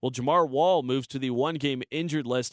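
The delivery is very fast. Intonation stays fairly even. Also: man. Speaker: sports reporter. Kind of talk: scripted report.

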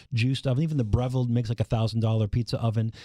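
The man's voice has a dark, mellow tone, with a dry, close sound and no echo. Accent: American. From Minnesota, US Midwest. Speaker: food writer and pizza expert. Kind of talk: interview.

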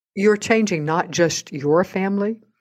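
In an unremarkable speaking voice, a woman talks at a moderate pace with ordinary pitch variation against a quiet background. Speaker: podcast host. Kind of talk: interview, conversational.

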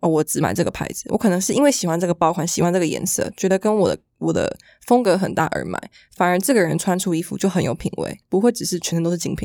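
A woman's fairly low voice with vocal fry and ordinary pitch variation at a very fast pace, dry and close with no echo, on a very clean recording with a silent background. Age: 20s. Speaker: fashion model. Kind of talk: casual chat.

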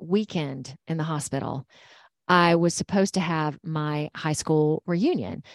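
A woman speaks with a fairly low pitch and ordinary pitch variation. The recording is very clean, with a silent background and a dry, close sound with no echo. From Georgia, US South. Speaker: intuitive energy healer and meditation teacher. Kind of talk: casual interview.

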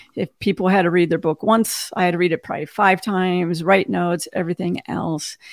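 A woman speaks in a plain, everyday voice at a medium pitch, with fairly even intonation, hardly any pauses, and a dry, close sound with no echo. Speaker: cybersecurity executive and podcaster. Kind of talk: casual interview. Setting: video call.

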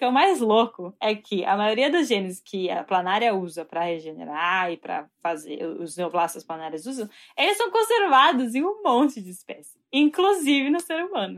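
Barely pausing, a woman talks in an animated tone with very wide pitch swings. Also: fairly high pitch for a woman, moderate pace. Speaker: doctoral student in biology. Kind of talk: interview.

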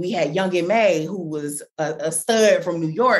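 A woman talks at a moderate pace in a normal speaking voice. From US Midwest, Chicago. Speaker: author. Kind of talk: interview.

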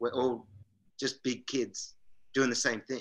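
A man with an Australian accent talks at a moderate pace and medium pitch in a bright, sharp tone. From Australia, Canberra. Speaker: pro inline skater. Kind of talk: casual chat. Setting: video call.

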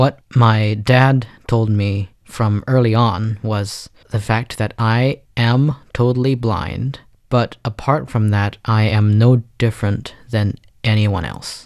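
A man speaks at a very slow pace with fairly even intonation. The background is quiet. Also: medium pitch for a man. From China. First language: Chinese. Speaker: pianist. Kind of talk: interview. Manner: fluent.

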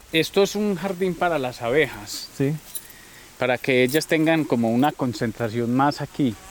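A man at a fairly high pitch with lively intonation and a moderate pace, over noticeable background noise. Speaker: farm manager. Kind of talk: casual interview.

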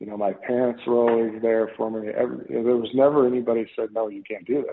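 This man has a normal speaking voice with an American accent, pitched at a medium level. His intonation stays fairly even and he talks at a fairly quick pace. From US Midwest, Minnesota. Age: 50s. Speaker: professional golfer. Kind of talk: casual interview chat.

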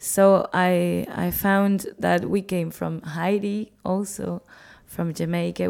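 This very clean recording, with a silent background, features a speaker with a Spanish accent. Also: woman. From Cuba (Havana). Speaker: musician and festival organizer. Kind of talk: interview.

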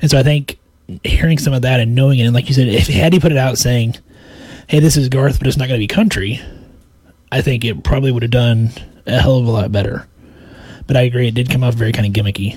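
A man's medium-pitched voice with a Midwestern US accent and ordinary pitch variation, a very fast pace broken by long, frequent pauses. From Kansas. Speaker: podcast co-host, healthcare worker. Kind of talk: reading aloud; casual chat.

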